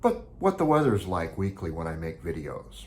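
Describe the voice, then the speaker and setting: This man's voice has a somewhat breathy quality. He talks in an American accent. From Beaverton, Oregon, US Pacific Northwest. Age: 60s. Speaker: real estate agent. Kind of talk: informational vlog.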